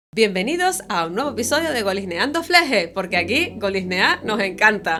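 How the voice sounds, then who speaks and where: A woman speaks in a Canarian accent at a medium pitch and a moderate pace. Her pitch swings very widely, with noticeable background noise around her. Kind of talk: podcast conversation.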